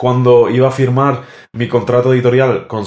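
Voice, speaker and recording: Talking at a fairly quick pace, a man speaks with a medium pitch. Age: 20s. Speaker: musician. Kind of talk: casual chat. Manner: halting.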